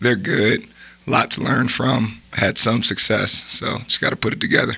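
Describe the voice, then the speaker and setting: A man with an American accent speaks at a moderate pace and a medium pitch. He has a plain, everyday voice and fairly even intonation. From Illinois (Bloomington). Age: 30s. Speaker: college basketball assistant coach. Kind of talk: podcast interview.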